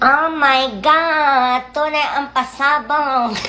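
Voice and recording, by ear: In a put-on character voice, a woman speaks very slowly with a nasal, high pitch over light background noise.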